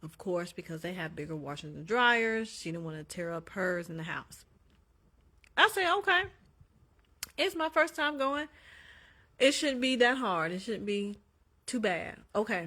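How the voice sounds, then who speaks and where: In a very clean recording with a silent background, a woman at medium pitch talks at a moderate pace in an animated, bright, sharp tone, with very wide pitch swings, big swings in loudness, and long, frequent pauses. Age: 30s. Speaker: social media livestreamer. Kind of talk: casual storytelling livestream.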